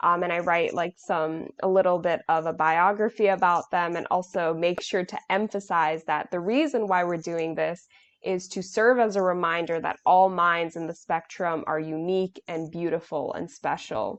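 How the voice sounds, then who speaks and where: Hardly pausing, a woman with an American accent and a normal speaking voice talks at a moderate pace, her fairly low pitch following a fairly even intonation. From New York (Bronx). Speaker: nonprofit board member. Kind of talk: interview. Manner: casual, many filler words.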